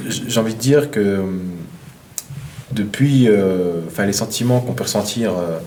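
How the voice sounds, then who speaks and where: This man's voice sits fairly low and moves with lively intonation at a fairly slow pace, broken by long, frequent pauses. Audible room echo and noticeable background noise fill the recording. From eastern France. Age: 20s. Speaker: professional boxer. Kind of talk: interview. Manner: halting, many fillers and repetitions.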